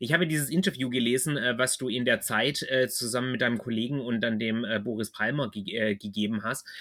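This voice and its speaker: In a Swabian accent, the voice has a bright, sharp tone, ordinary pitch variation and a moderate pace. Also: man. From Swabia, southwest Germany. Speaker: podcast host. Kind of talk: interview. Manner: hesitant, many fillers.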